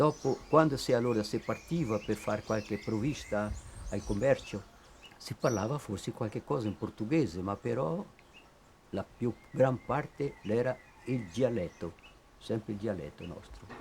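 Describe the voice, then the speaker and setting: A man with a Trentino accent speaks fairly slowly at a medium pitch. His intonation is lively, and he leaves long, frequent pauses. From Trentino descendant community in Espírito Santo, Brazil. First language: Trentino dialect (speaking Italian). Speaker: interviewee, Italian-Brazilian descendant. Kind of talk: documentary interview.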